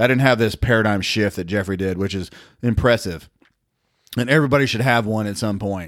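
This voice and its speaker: A man with a Southern US accent speaks at a medium pitch. His pace is fairly quick. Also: very clean recording, silent background. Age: 50s. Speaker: regular co-host. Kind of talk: casual chat.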